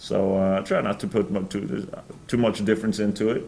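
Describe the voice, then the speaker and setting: Fairly quick and with fairly even intonation, a man speaks amid audible room echo. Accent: slight Norwegian. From Norway. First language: Norwegian. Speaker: professional football punter. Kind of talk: press conference Q&A. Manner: halting, many fillers.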